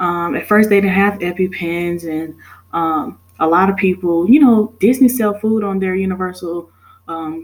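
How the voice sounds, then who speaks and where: This woman has an unremarkable speaking voice, pitched at a medium level, with ordinary pitch variation at a moderate pace. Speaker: student. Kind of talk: class presentation.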